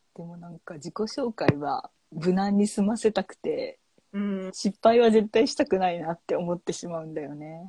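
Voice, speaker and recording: Speaking at a moderate pace and medium pitch, a woman sounds somewhat breathy, with a dark, mellow tone, lively intonation and big swings in loudness, in a dry, close sound with no echo. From Japan, Hiroshima. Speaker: podcast co-host, IT worker. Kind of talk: casual chat.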